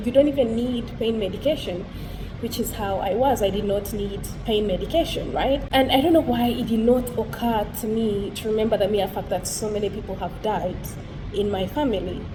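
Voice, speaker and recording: In an African accent, a woman speaks at a moderate pace with a fairly high voice and ordinary pitch variation. Audible room echo and noticeable background noise fill the recording. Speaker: vlogger. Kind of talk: personal vlog monologue. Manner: casual, conversational.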